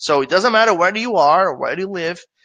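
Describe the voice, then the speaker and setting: Speaking with a Brazilian Portuguese accent, a man talks at a fairly quick pace in a high pitch with lively intonation against a quiet background. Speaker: affiliate marketer presenting webinar. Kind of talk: webinar presentation. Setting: live online webinar. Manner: conversational, with filler hesitations.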